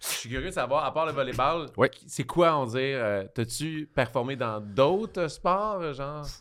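A man with a Quebec accent, fairly high pitch and lively intonation, at a fairly slow pace, on a very clean recording with a silent background. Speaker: podcast host and comedian. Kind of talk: casual chat. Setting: studio.

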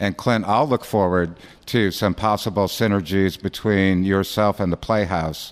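Here a man has a plain, everyday voice with a fairly low pitch. His loudness stays very even on a very clean recording with a silent background. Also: fairly even intonation, moderate pace. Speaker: podcast host. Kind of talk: casual chat. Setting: studio.

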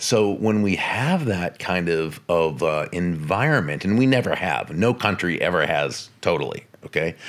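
With an American accent and a very deep, low pitch, a man speaks at a moderate pace with lively intonation, very even loudness, and hardly any pauses. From Massachusetts, northeastern US. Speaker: author and speaker. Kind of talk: interview.

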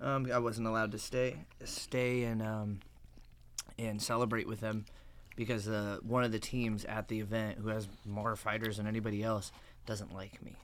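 Audible room echo surrounds a man who speaks at a moderate pace and a fairly low pitch, his intonation monotone and flat. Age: 20s. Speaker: MMA fighter and gym owner. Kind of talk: casual chat.

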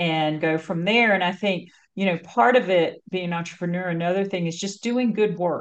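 A plain, everyday voice of a woman with an American accent, fairly low in pitch, with ordinary pitch variation, a moderate pace and a quiet background. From North Carolina. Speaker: marketing agency founder and CEO. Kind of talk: interview conversation.

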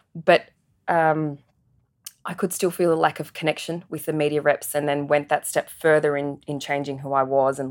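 A woman with an Australian accent, a very deep, low pitch and a moderate pace. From Adelaide, Australia (migrated from Singapore as child). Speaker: media agency professional. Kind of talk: interview conversation.

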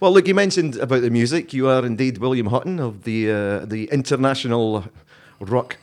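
A man talks with a Scottish accent at a medium pitch. His intonation is lively, and his loudness swings widely. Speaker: podcast host and former radio presenter. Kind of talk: casual chat. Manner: laughs often, easygoing.

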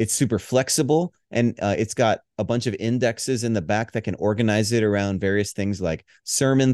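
A man speaks at a moderate pace in a fairly low pitch, with a dark, mellow tone and ordinary pitch variation. The sound is dry and close with no echo, against a quiet background. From Hawaii. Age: 40s. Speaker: pastor and worship leader. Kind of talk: podcast interview.

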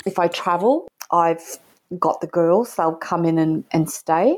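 Her pitch is fairly low for a woman, at a moderate pace. She has a normal speaking voice. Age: 50s. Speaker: real estate businesswoman and women's network founder. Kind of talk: casual interview chat.

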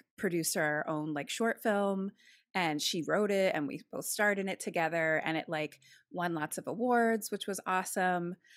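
A plain, everyday voice speaks at a fairly slow pace with ordinary pitch variation, in a dry, close sound with no echo on a very clean recording with a silent background. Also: woman. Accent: American. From Philadelphia, US East Coast. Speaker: podcaster and actor. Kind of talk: casual chat.

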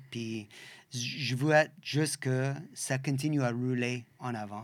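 A man with an English accent speaks at a medium pitch and a very slow pace. His intonation stays fairly even on a very clean recording with a silent background. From western Canada (Saskatchewan). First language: English (speaking French). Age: 50s. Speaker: bike shop owner. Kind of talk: interview. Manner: halting, searching for words.

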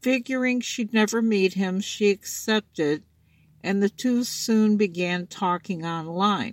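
This woman has a plain, everyday voice at a medium pitch with ordinary pitch variation. The recording is very clean, with a silent background and a dry, close sound with no echo. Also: fairly slow pace. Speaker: true crime podcaster. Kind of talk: true-crime narration, scripted, read aloud in a serious tone. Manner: solemn, measured and formal, read from a script; stumbles and repeats words while reading.

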